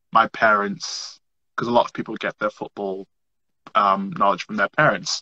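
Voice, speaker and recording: A man speaks with a northern English accent. The sound is dry and close with no echo. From northern England, Merseyside. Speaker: social media comedian. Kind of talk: podcast interview. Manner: animated.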